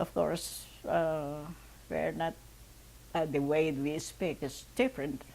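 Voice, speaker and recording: With a Filipino accent, a woman speaks very slowly, leaving long, frequent pauses. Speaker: oral history interviewee. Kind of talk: interview testimony.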